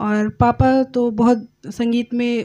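A woman's high-pitched voice with a dark, mellow tone, against a quiet background. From Delhi, family from Madhubani, Bihar; Delhi. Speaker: singer; podcast guest. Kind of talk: interview. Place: studio. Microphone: studio mic.

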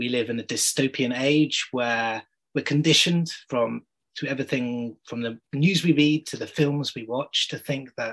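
A man talks with ordinary pitch variation against a quiet background. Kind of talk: workshop introduction talk. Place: home room. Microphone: video call.

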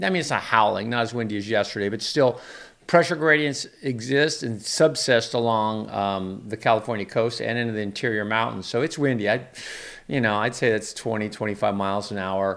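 At a moderate pace, a man's speech shows ordinary pitch variation. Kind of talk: commentary. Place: office. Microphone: studio mic.

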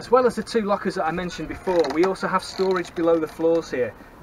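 This man talks at a very fast pace with ordinary pitch variation. Noticeable background noise is present. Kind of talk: tour guide vlog. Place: boat. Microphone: phone near.

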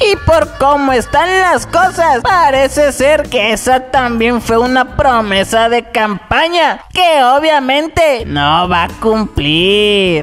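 A female-sounding cartoonish character voice, pitched high, moves at a very slow pace over clear background noise. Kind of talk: satirical political news commentary. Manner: mocking, gossipy.

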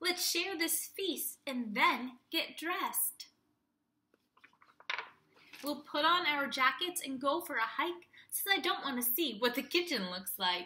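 A woman's put-on character voice, high-pitched with a bright, sharp tone, slow-paced with lively intonation, in a room with audible echo

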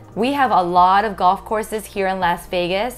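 A woman speaks at a moderate pace. Faint music plays behind her. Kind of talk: informational explainer. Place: office. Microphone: lapel.

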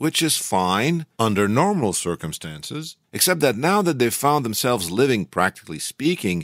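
The background stays quiet as a natural voice reads aloud.

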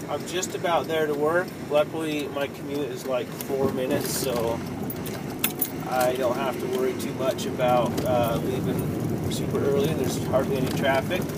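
At a moderate pace, a man talks while loud background noise fills the clip. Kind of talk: casual vlog chat. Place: car. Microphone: phone near.

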